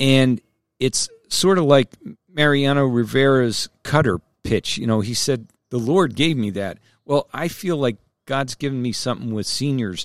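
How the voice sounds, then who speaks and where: With an American accent and a plain, everyday voice, a man speaks at a medium pitch and moderate pace with ordinary pitch variation, in a dry, close sound with no echo. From New Jersey. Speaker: podcast host and senior editor. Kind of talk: casual interview.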